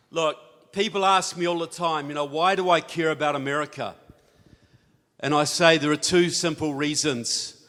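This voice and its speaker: A man with a New Zealand accent, a fairly high pitch, a bright, sharp tone and fairly even intonation. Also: moderate pace. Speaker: author and speaker on politics. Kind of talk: conference talk. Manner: conversational, with filler words.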